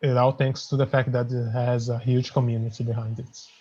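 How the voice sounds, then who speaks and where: Somewhat breathy speech in a non-native accent, monotone and flat, at a moderate pace against a quiet background. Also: man. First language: not English. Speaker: indie game developer. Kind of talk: interview.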